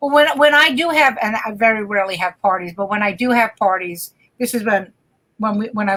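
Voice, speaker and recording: A woman talks in an ordinary speaking voice at a fairly quick pace. Her pitch is fairly high and her intonation lively. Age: 60s. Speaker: comedian. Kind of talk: casual chat.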